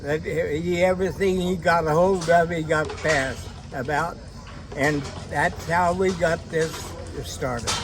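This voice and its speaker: A man speaks at a fairly slow pace in a high voice with fairly even intonation, and music plays in the background. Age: 80s+. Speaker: harness racing horseman. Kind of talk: interview answer.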